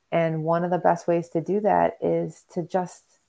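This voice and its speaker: A woman with a Western New York accent speaks in a fairly low pitch with a dark, mellow tone. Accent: Western New York American. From US Northeast (Rochester, New York). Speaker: ecotherapist. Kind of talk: interview. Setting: video call.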